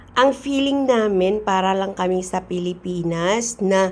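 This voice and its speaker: A woman speaking at a very slow pace, with lively intonation. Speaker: vlogger. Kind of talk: casual vlog narration. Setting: outdoors. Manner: animated.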